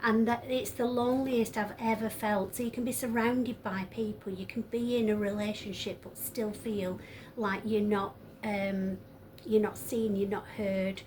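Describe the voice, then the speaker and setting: With a northern English accent, a woman speaks at a moderate pace in a flat monotone and a fairly high pitch. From northern England. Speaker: tarot reader. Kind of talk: tarot reading monologue. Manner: hesitant, many fillers.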